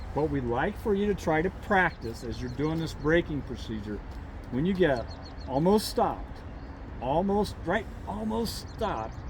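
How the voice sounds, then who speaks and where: There is audible room echo as a man talks at a moderate pace. His pitch is fairly high. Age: 70s. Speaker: motorcycle riding instructor. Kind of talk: outdoor riding instruction; casual chat.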